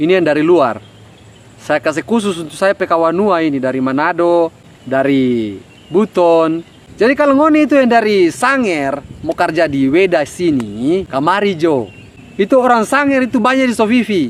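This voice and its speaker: A man in a North Maluku accent, high-pitched, at a moderate pace, with very wide pitch swings. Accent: Ternate Malay dialect. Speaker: job application advice vlogger. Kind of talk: casual talk to camera.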